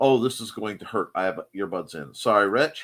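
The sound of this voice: The intonation is lively and the tone is fairly bright. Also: man.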